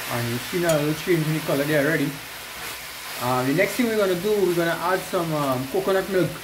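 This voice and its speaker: A man talks very fast in a high voice with ordinary pitch variation. Noticeable background noise sits behind him. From Trinidad. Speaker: outdoor video creator. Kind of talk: vlog narration and cooking tutorial. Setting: outdoors. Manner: animated. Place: kitchen. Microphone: phone near.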